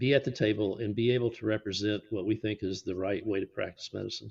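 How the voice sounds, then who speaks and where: A man with an American accent and a medium pitch speaks at a fairly quick pace with ordinary pitch variation against a quiet background. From Texas, Fort Worth. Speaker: radiologist. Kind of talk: podcast interview.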